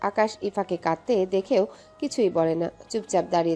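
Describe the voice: Ordinary pitch variation in plain reading aloud.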